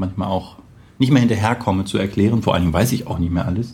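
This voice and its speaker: Talking at a very fast pace, a man with a fairly low pitch and a dark, mellow tone sounds somewhat breathy, his intonation fairly even. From Braunschweig, northern Germany. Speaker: web developer, podcast guest. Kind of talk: casual chat.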